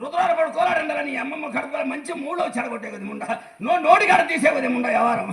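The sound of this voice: In a put-on character voice with vocal fry, a man talks fast at an extremely high pitch, his fairly bright tone showing ordinary pitch variation amid audible room echo.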